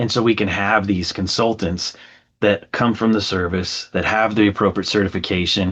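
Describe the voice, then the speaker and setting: Against a quiet background, a man speaks in a fairly low voice with monotone, flat intonation. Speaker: veteran staffing recruiter. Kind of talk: podcast interview. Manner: fast.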